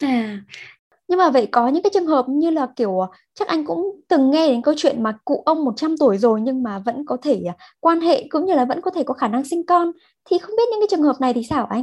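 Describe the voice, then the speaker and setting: A woman's high voice at a very fast pace, with very wide pitch swings, over a quiet background. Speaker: radio host. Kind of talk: radio interview. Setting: studio.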